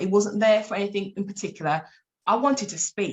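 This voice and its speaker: A woman's somewhat breathy, medium-pitched voice with an animated tone. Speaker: life coach and abuse survivor speaker. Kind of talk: interview testimony.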